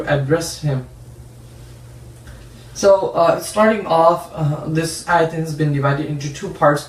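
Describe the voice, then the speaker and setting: A plain, everyday voice from a man, fairly high in pitch, fairly slow, with ordinary pitch variation. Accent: American. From San Jose, California, USA. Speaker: Islamic scholar and Quran teacher. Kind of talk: religious lecture class.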